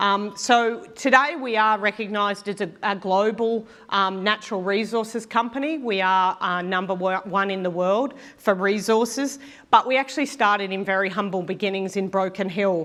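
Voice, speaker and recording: A woman with an Australian accent, ordinary pitch variation and a quiet background. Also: medium pitch for a woman, moderate pace. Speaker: mining industry technology leader. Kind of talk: conference talk. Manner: many fillers (um, uh).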